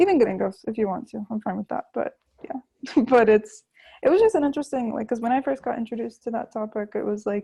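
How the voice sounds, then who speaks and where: A woman with an American accent talks at a very fast pace, her fairly high pitch showing ordinary variation and a dark, mellow tone. The sound is dry and close with no echo, over a quiet background. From US South, Florida. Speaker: language learner, YouTuber and student. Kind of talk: casual interview.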